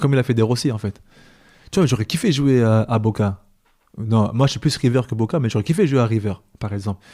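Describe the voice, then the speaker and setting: Over a very clean recording with a silent background, a dark, mellow voice moves at a very fast pace with ordinary pitch variation and long, frequent pauses. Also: man. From France, Île-de-France (Paris region). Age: 30s. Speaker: former professional footballer. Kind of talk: podcast interview. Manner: casual, hesitant with repetitions.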